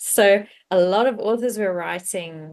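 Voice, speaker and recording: A woman with a South African accent. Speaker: cozy mystery author. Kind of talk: casual interview chat.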